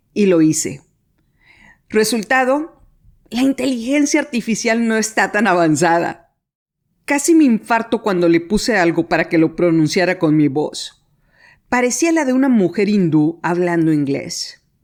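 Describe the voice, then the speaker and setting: A woman with a Latin American accent talks at a fairly slow pace, her pitch swinging very widely while her loudness stays very even. The recording is very clean, with a silent background. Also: medium pitch for a woman. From Mexico. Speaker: podcast host. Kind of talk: scripted narration.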